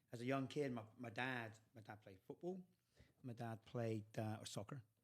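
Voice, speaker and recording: Speaking at a moderate pace with an English accent, the voice shows ordinary pitch variation. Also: man, medium pitch for a man. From England, Cornwall. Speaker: youth soccer coach. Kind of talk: podcast interview.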